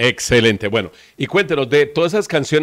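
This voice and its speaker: A man talks at a very fast pace. The background is quiet, and the sound is dry with no echo. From Colombia, Valle del Cauca. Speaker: web TV host. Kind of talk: interview. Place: studio.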